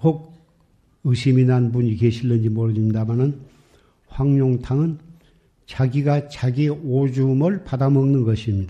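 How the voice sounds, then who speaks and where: A man with a medium pitch and a dark, mellow tone speaks fairly slowly, somewhat breathy, with ordinary pitch variation. Long, frequent pauses break up his speech, and the room echo is audible. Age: 80s. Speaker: Buddhist monk. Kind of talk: sermon.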